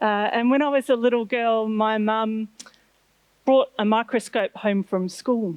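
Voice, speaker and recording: A woman with an Australian accent speaks at a fairly slow pace and a fairly high pitch, with ordinary pitch variation and very even loudness. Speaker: marine scientist. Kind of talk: lecture.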